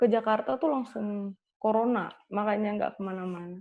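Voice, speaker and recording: A woman speaks at a fairly quick pace. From Tegal, Central Java, Indonesia. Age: 20s. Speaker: university student, singer. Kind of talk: casual chat.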